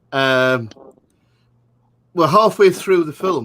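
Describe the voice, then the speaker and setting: Lively intonation from a man with an American accent, delivered at a moderate pace. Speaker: movie commentary show host. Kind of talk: live movie commentary chat.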